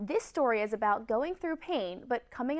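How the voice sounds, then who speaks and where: A woman speaks with an American accent, her pitch swinging very widely. Music plays in the background. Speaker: TV news anchor and reporter. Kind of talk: local TV news reporting.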